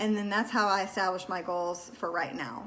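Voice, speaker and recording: In a room with audible echo, a woman with a medium-pitched voice speaks at a fairly quick pace with lively intonation. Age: 40s. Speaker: wellness vlogger. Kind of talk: casual talk to camera. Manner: casual, with many fillers.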